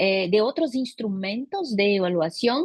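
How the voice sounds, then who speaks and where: A woman is speaking. Her pitch swings very widely. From Brazil. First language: Portuguese (speaking Spanish). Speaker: teacher training consultant. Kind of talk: conference talk.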